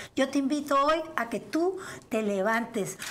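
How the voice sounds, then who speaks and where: A woman speaks with ordinary pitch variation against light background noise. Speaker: host, guest. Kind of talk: casual chat. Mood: upbeat, warm.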